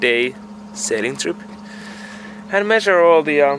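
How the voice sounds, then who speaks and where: Over noticeable background noise, a man with a high pitch talks at a moderate pace with very wide pitch swings. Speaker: sailing vlogger. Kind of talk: casual vlog talk to camera. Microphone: built-in camera mic, poor audio.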